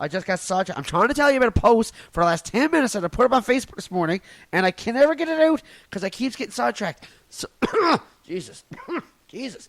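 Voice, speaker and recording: In a Newfoundland accent, a man talks at a very fast pace with long, frequent pauses, very wide pitch swings and big swings in loudness, the sound dry and close with no echo. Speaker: comedian podcaster. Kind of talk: casual solo podcast rant.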